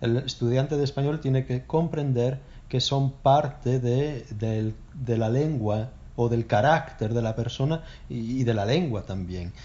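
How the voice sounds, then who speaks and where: At a fairly slow pace, a man with a somewhat breathy voice speaks at medium pitch with ordinary pitch variation. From northern Spain, Oviedo (Asturias). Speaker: Spanish teacher. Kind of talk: casual chat.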